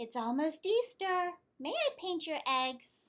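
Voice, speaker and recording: Squeaky and extremely high-pitched, a woman's put-on character voice comes through. Her delivery moves at a fairly slow pace. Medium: read story.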